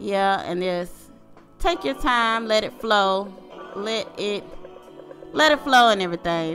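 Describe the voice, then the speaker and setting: A woman's playful tone at a fairly slow pace, with music in the background. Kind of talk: casual voiceover narration of a drawing video. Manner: playful, joking.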